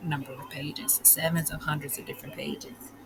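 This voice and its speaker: Quietly, a woman speaks at a very deep, low pitch with music in the background. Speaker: podcast host and life coach. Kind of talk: casual guided reflection monologue. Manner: speaking quietly.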